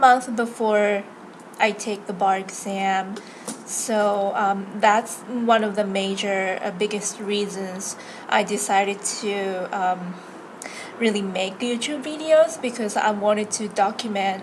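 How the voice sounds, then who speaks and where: A woman with a Japanese accent talks at a very slow pace with ordinary pitch variation, amid noticeable background noise and audible room echo. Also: medium pitch for a woman. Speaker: law student and vlogger. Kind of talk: casual vlog introduction. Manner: hesitant, many fillers.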